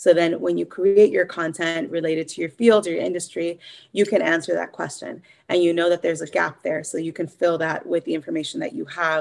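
She talks at a fairly quick clip in a fairly low voice with vocal fry. Her pitch moves in an ordinary way. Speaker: author and editor. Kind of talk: casual interview chat. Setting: members coaching session. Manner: hesitant, filler-heavy.

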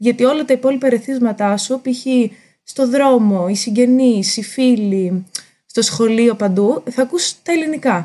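A woman's high, dark, mellow voice with ordinary pitch variation, very even loudness and a fairly slow pace. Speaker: linguist. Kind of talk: casual interview chat. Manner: hesitant with fillers.

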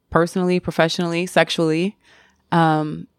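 A woman with an American accent, fairly low pitch and moderate pace, in a very clean, dry, close recording with no echo and a silent background. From US South. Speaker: TV personality. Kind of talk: casual interview chat.

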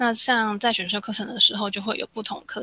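The sound is dry and close with no echo as a woman talks at a fairly quick pace. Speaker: study-abroad consultant. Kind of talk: casual interview chat.

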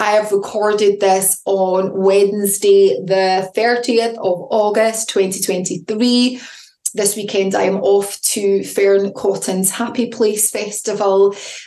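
A woman speaks very slowly at a medium pitch, her loudness very even, with noticeable background noise. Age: 40s. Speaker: podcast host and intuitive coach. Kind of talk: solo motivational talk. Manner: animated.

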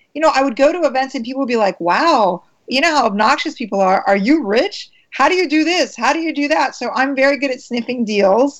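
Speaking at a fairly quick pace, a woman with an American accent uses lively intonation and a high pitch. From US, Maryland. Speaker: actress. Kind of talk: interview.

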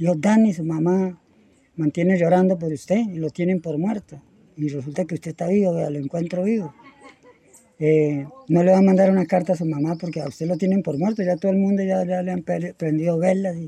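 A man talks at a fairly quick pace with high pitch. His tone is dark and mellow, his intonation fairly even. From Colombia, Tolima (Purificación). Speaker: settler. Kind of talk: interview. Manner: halting.

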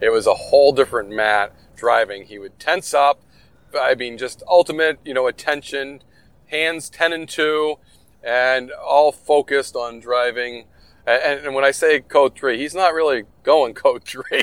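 A normal speaking voice at a fairly slow pace, with ordinary pitch variation and big swings in loudness. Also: man, fairly high pitch for a man. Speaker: retired game warden, podcast host. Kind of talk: casual interview conversation.

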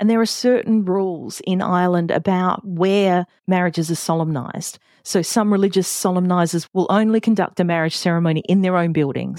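A woman speaks with an Australian accent at medium pitch and ordinary pitch variation. The recording is very clean with a silent background and a dry, close sound with no echo. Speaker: podcast host and wedding celebrant. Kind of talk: solo podcast talk. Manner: casual.

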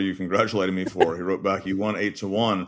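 On a very clean recording with a silent background, a man speaks with a Texas accent. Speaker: death penalty defense lawyer. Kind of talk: interview.

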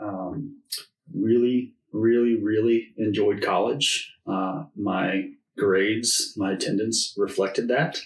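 Very slow speech from a man with an American accent, medium in pitch, with ordinary pitch variation. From Oklahoma City, US. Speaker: networker and relationship builder. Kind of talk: casual interview chat. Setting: studio.

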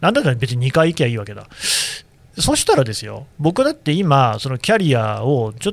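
A man's plain, everyday voice, fairly high in pitch, with lively intonation at a fairly quick pace. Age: 40s. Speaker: newspaper podcast host. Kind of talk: casual interview.

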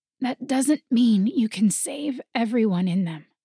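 In a put-on character voice, a woman sounds raspy and fairly high-pitched. Her pace is fairly slow, and her intonation is lively.

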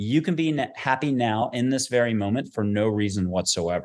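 This man has an American accent and an animated tone. His intonation is lively. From US. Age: 50s. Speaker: angel intuitive. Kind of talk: interview.

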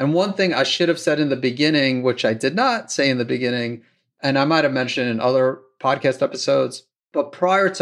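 A man speaks at a fairly quick pace in a normal speaking voice, with ordinary pitch variation over a quiet background. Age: 50s. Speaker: doctor hosting a thyroid health podcast. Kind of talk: solo Q and A monologue.

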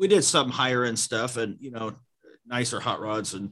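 A man with an American accent has an unremarkable speaking voice at medium pitch. He keeps a moderate pace against a quiet background. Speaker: car audio shop owner.

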